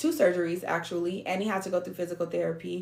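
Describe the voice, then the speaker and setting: Very fast and flat, a woman speaks in a monotone with vocal fry. Her pitch sits fairly low. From San Diego, California. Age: 30s. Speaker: online business coach. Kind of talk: motivational talk.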